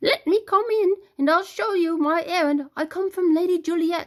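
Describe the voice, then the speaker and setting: A woman puts on a squeaky character voice at an extremely high pitch. She speaks at a moderate pace with ordinary pitch variation. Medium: read story. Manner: repetitive, emotional.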